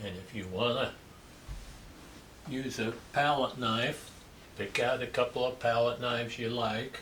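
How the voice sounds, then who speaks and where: Fairly slow, relaxed speech in a Midwestern US accent, with fairly even intonation. There is audible room echo and noticeable background noise. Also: man. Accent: US Midwest. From rural Kansas. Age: 60s. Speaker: landscape painter. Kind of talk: painting tutorial. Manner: relaxed, conversational.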